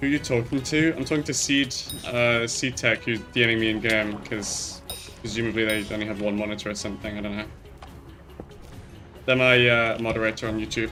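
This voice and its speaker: Music plays in the background as the speech moves at a fairly quick pace, interrupted by long, frequent pauses. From northern England, Hull. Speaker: gaming streamer. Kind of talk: casual live stream chat.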